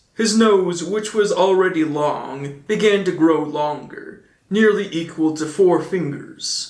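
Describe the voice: A man's slow-paced speech with ordinary pitch variation and strong room echo. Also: fairly high pitch for a man.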